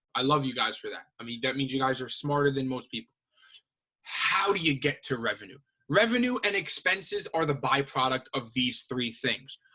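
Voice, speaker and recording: This man's voice is fairly high in pitch, with a bright, sharp tone and an animated delivery. He moves at a moderate pace with lively intonation. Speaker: high school teacher. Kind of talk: lecture.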